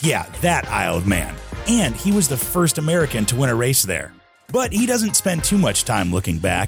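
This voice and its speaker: With music in the background, a man at a medium pitch talks at a moderate pace, his loudness very even while his pitch swings very widely. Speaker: podcast host. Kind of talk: podcast intro narration.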